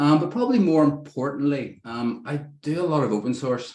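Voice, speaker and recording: At a moderate pace, the speaker uses ordinary pitch variation with an Irish accent. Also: man. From Ireland. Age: 50s. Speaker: software developer, presenter. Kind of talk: technical talk.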